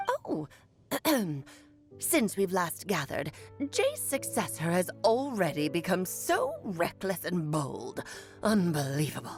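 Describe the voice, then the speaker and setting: With faint music in the background, a woman puts on a character voice at a fairly low pitch, speaking fairly slowly with long, frequent pauses. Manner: disdainful, imperious.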